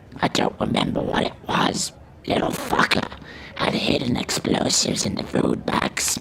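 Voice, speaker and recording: A man puts on a raspy character voice at a moderate pace. Clear background noise can be heard. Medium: audio drama. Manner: bitter, profane, hostile.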